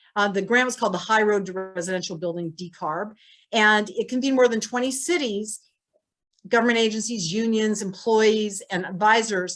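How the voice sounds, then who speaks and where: The woman's voice sits at a fairly high pitch with ordinary variation. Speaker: city council member. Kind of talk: prepared policy presentation. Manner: fast.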